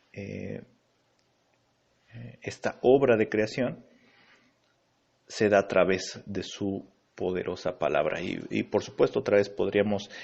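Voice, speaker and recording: Slowly and with long, frequent pauses, a man speaks at a very slow pace. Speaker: pastor. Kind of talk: Bible teaching. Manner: halting, many fillers.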